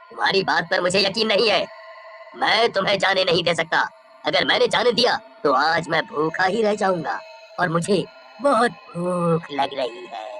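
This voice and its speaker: Someone does a cartoonish character voice at a middle pitch and moderate pace, with clear background noise. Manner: menacing, gloating.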